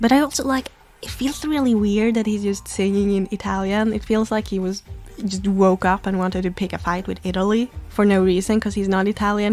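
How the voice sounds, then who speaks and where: Speaking with a non-native accent over music in the background, a woman sounds animated at a fairly quick pace and medium pitch. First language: not English. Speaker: YouTuber, Pokémon fan commentator. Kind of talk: casual video commentary.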